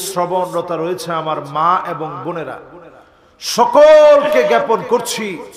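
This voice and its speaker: A man with a high-pitched voice speaks with lively intonation. Audible room echo and light background noise are present. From Bangladesh. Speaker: Islamic preacher; religious preacher. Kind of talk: sermon. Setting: outdoor religious gathering with PA. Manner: calm, not shouting. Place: stage. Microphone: podium.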